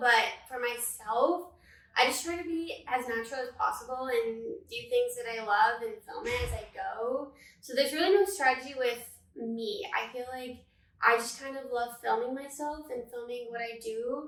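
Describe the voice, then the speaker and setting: A woman at a high pitch and moderate pace, with ordinary pitch variation, big swings in loudness, and audible room echo. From Northern California. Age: 20s. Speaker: social media manager and content creator. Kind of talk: casual podcast interview.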